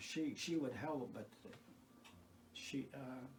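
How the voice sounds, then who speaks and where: The speaker has an American accent and fairly even intonation, going at a fairly slow pace. Audible room echo and noticeable background noise are present. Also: man. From US Midwest, north Iowa. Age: 80s+. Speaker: retired farmer and garden volunteer. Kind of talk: casual reminiscence. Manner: halting, many false starts.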